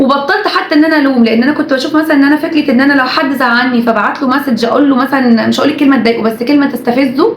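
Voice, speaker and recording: Noticeable background noise and audible room echo surround a woman's high-pitched voice. She talks very fast with ordinary pitch variation. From Egypt. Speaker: YouTuber and TV presenter. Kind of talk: casual vlog monologue.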